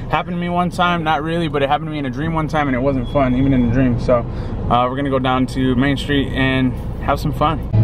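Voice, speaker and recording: Over music in the background, a man talks very fast with fairly even intonation, the sound dry with no echo. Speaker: vlogger. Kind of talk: casual vlog chat.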